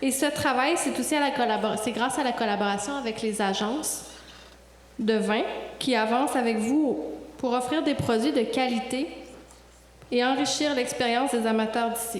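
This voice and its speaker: A woman talks at a moderate pace with a high pitch, fairly even intonation and very even loudness, leaving long, frequent pauses. Noticeable background noise and audible room echo come through. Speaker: wine industry association director. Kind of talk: award presentation speech.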